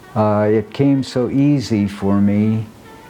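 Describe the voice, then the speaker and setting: A man with an American accent, at medium pitch and with fairly even intonation, over noticeable background noise. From Nebraska, US Midwest. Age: 80s+. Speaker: amateur jazz dancer and sculptor. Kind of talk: documentary interview narration. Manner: halting, with many fillers.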